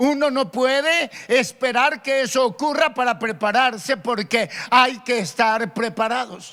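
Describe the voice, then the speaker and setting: Raised and projected, a man's extremely high voice has a bright, sharp tone, ordinary pitch variation, and a fairly slow pace. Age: 60s. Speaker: pastor. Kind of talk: sermon. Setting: radio broadcast and online stream.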